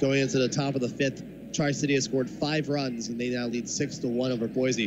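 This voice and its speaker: An excited man at a moderate pace, with noticeable background noise. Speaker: baseball radio play-by-play announcer. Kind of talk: live sports commentary, baseball play-by-play highlights. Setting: radio broadcast. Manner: excited on home runs, building suspense with rising tension.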